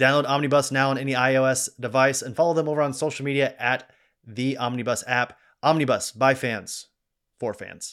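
A man with a plain, everyday voice speaks at medium pitch and a moderate pace, with fairly even intonation. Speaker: podcast host. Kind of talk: casual chat.

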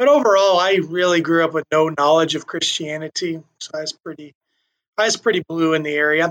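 In an American accent, a man talks fairly quickly in a normal speaking voice, his pitch fairly high, with a dry, close sound and no echo. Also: fairly even intonation. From Iowa, US Midwest (west central Iowa). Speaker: faith ministry director. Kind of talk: interview conversation.

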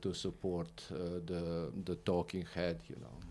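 A man with a Croatian accent speaks at a fairly slow pace in a very deep, low pitch and dark, mellow tone, on a very clean recording with a silent background. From Croatia (Split, former Yugoslavia). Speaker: videographer. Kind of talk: interview.

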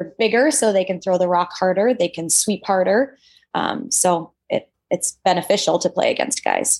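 With an Upper Midwest accent, the speaker moves at a moderate pace and uses ordinary pitch variation. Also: woman, medium pitch for a woman. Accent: Upper Midwest American. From Minnesota. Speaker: dentist and Olympic curler. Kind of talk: casual interview.

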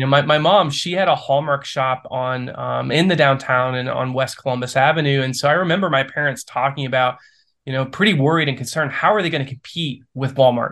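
A man with an American accent has a normal speaking voice, fairly high in pitch with ordinary pitch variation, talking fairly quickly against a quiet background. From Ohio, US Midwest. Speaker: small-town development entrepreneur. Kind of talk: podcast interview.

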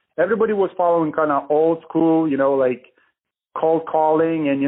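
An unremarkable speaking voice from a man, fairly high in pitch, at a fairly quick pace with fairly even intonation. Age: 30s. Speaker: real estate marketing business owner. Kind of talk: podcast interview. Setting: phone call.

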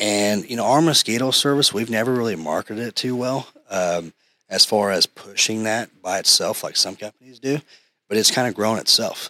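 With a bright, sharp tone and ordinary pitch variation, a man speaks at a medium pitch and moderate pace in a dry, close sound with no echo. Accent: American. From Tulsa, Oklahoma. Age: 30s. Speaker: pest control business owner. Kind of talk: casual interview.

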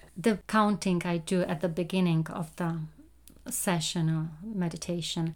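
Over a silent background in a very clean recording, a woman with a non-native accent speaks fairly low and fairly slowly with fairly even intonation. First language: not English. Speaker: meditation guide and podcast host. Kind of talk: guided meditation talk, personal reflection. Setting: home recording, no studio. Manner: hesitant, many fillers.

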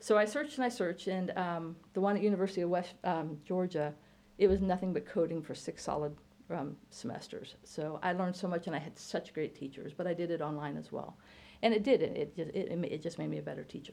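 This woman speaks very fast in an American accent, fairly low in pitch with ordinary pitch variation. Her tone is dark and mellow, with vocal fry. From Illinois. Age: 50s. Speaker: college computer science teacher. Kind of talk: casual interview.

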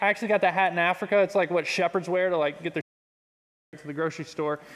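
Speaking with a Texan accent, a man holds a high pitch and fairly even intonation. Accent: Texan (US Southern). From Texas, Pearland. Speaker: youth pastor. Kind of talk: sermon. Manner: casual.

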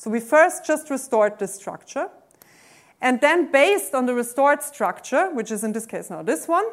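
A woman speaks with a German accent at a high pitch. Her pitch swings very widely. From Austria. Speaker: mathematics professor. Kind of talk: lecture. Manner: hesitant, many fillers.

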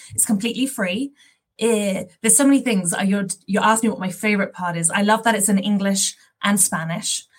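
A somewhat breathy voice at a fairly quick pace. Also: woman, medium pitch for a woman, ordinary pitch variation. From London, England. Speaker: parent program partner manager, former teacher. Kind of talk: interview, explaining an app.

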